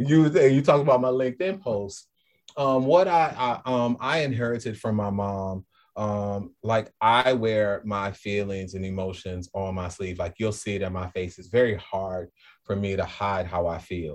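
A man with a slight New Orleans accent speaks at a fairly low pitch with ordinary pitch variation. The background is quiet. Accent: little New Orleans drawl. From New Orleans, US South. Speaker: school leader. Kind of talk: casual interview.

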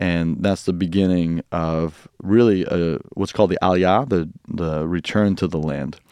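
A man's very deep, low voice with a dark, mellow tone at a fairly slow pace, against a quiet background. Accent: US Midwestern. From US Midwest, Quad Cities. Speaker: pastor and Bible teacher. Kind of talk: casual interview with teaching.

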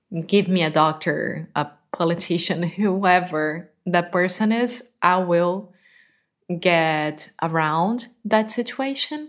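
A woman with a Portuguese accent speaks at a very slow pace in a fairly low pitch with ordinary pitch variation. The recording is very clean, with a silent background. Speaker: podcast co-host, English learner. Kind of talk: casual chat. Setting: home living room.

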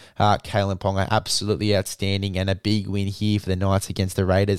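Speaking at a very fast pace, a man with an Australian accent has a fairly low pitch. The recording is very clean with a silent background, dry and close with no echo. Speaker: rugby league podcast host. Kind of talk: scripted review read aloud, hushed. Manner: quiet, soft-spoken; casual, swears.

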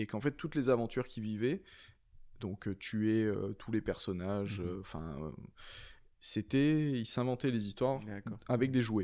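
The recording is very clean, with a silent background. A dark, mellow tone carries lively intonation and long, frequent pauses. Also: man, medium pitch for a man, fairly slow pace. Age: 30s. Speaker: comic book author. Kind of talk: casual chat.

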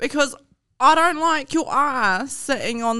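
Raised, projected voice from a woman, bright and sharp in tone. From New Zealand, Hawke's Bay. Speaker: podcast guest. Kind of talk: casual chat.

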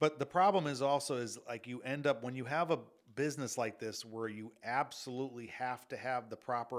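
Recorded very cleanly against a silent background, a man with an ordinary speaking voice talks at a moderate pace in a medium pitch with ordinary pitch variation. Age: 50s. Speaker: former limousine company owner. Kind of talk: casual storytelling interview.

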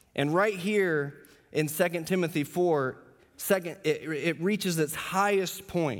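A plain, everyday voice with ordinary pitch variation at a fairly slow pace, on a very clean recording with a silent background. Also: man. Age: 30s. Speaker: pastor. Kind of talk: sermon. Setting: church.

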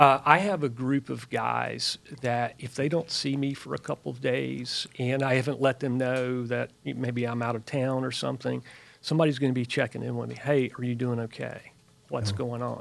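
This man has an ordinary speaking voice at a medium pitch, with ordinary pitch variation. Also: moderate pace. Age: 50s. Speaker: clinical research worker, fitness group member. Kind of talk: casual chat.

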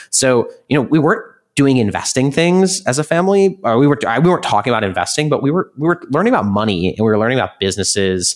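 A man with an American accent talks at a very fast pace with hardly any pauses, his fairly high pitch swinging very widely. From US Midwest, Chicago suburbs. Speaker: startup co-founder and investment executive. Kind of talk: interview.

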